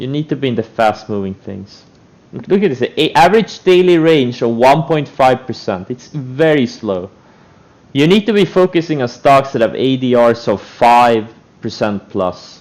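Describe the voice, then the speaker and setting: Here a man speaks in an Estonian accent at a medium pitch. His intonation is lively. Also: moderate pace. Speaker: trader streamer. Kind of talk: live stream commentary. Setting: live stream. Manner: animated.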